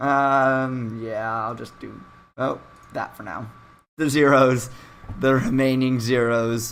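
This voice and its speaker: With long, frequent pauses and a very slow pace, a man speaks in fairly even intonation amid audible room echo, his loudness swinging widely. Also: medium pitch for a man. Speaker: esports caster. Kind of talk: live commentary. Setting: live stream.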